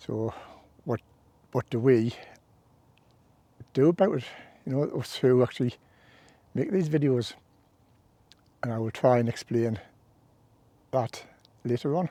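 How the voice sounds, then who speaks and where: A man speaks in a dark, mellow tone with ordinary pitch variation, leaving long, frequent pauses. The sound is dry and close, with no echo. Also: medium pitch for a man, moderate pace. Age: 60s. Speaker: hiking vlogger. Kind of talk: walking vlog narration. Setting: outdoors on a fell walk. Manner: casual, conversational.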